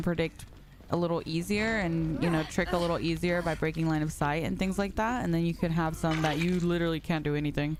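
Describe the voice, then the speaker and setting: At a moderate pace, a woman is speaking. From North Carolina. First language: Spanish. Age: 20s. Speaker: video game streamer. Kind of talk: casual chat. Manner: animated.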